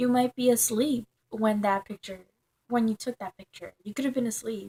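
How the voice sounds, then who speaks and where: Captured in a dry, close sound with no echo, a woman with a Spanish accent has a dark, mellow tone. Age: young. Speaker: vlogger. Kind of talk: casual vlog monologue. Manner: halting, many fillers.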